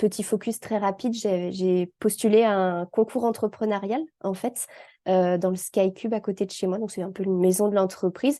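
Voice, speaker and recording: A woman with a medium-pitched, dark, mellow voice speaks at a moderate pace. The background is quiet. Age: 30s. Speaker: independent assistant and trainer. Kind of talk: interview testimony. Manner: hesitant, many fillers.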